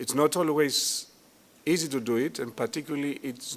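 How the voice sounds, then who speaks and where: At a moderate pace, the man talks with ordinary pitch movement. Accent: Greek. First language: Greek. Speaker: tourism industry executive. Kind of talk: conference speech. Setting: hotel conference hall.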